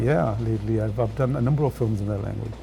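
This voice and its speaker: Someone talks at a very fast pace in a Punjabi accent. Music plays in the background. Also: man. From England. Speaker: film director. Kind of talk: interview. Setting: studio. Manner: halting, many fillers.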